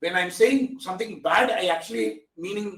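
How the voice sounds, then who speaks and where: A man's high voice with very wide pitch swings, in a Tamil Indian accent. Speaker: AI technology expert. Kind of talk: webinar talk.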